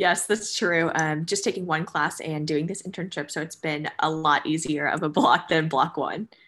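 A woman with an American accent has an unremarkable speaking voice and fairly low pitch. She keeps a moderate pace and fairly even intonation. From New Jersey. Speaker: college student intern. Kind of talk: casual chat. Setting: video call.

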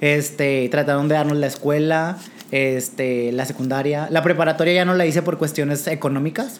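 Fairly high male voice at a moderate pace, very even in loudness and fairly even in intonation, over noticeable background noise. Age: 20s. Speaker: drag performer. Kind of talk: casual interview.

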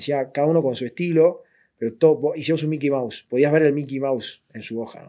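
A man's medium-pitched voice with a dark, mellow tone. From Argentina, southern Buenos Aires. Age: 20s. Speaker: illustrator and creative director. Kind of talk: interview. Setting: studio.

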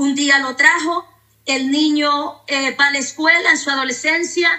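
A high-pitched woman's voice, fairly slow and with ordinary pitch variation. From Honduras. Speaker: pastor. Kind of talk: testimony.

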